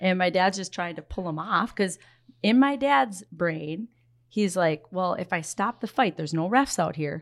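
Lively intonation at a moderate pace with an Upper Midwest accent, in a very clean recording with a silent background. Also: woman, medium pitch for a woman. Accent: Upper Midwest (Minnesota). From Minnesota, Twin Cities area. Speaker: hockey coach and former pro player. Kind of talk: casual chat.

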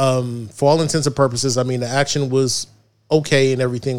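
A man talks at a fairly quick pace in a medium pitch. He has an unremarkable speaking voice with fairly even intonation. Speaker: podcast co-host. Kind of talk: casual banter podcast. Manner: joking, playful.

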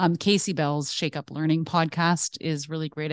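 In a Canadian accent, a woman with a very deep, low pitch speaks at a fairly quick pace, the sound dry and close with no echo over a quiet background. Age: 40s. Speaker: teacher librarian. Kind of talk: casual interview. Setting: at school. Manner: animated.

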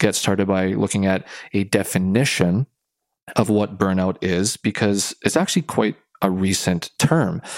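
A man with a fairly low pitch, a moderate pace and a plain, everyday voice. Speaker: podcast host, sport and workplace psychology consultant. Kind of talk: casual chat.

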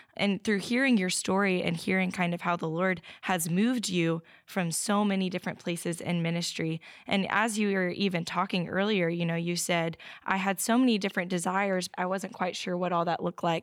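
A woman's unremarkable speaking voice at medium pitch, fairly quick and fairly even in intonation, with very even loudness, on a very clean recording with a silent background. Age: 20s. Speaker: ministry intern. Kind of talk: interview.

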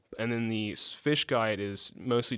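On a very clean recording with a silent background, a man with an Alabama accent speaks in a flat monotone. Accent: US Southern (Alabama). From Alabama, near Dothan. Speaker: recent public health graduate. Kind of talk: interview. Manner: halting, many fillers.

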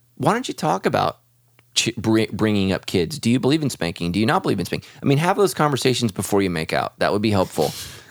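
A man speaks very fast at a medium pitch with very wide pitch swings, in a very clean, dry, close recording with a silent background and no echo. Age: 40s. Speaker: pastor. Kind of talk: casual chat. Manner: talkative.

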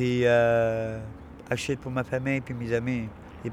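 Over noticeable background noise, a man speaks at a fairly slow pace and medium pitch in a monotone, flat intonation. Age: 20s. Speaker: former drug user. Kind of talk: testimony.

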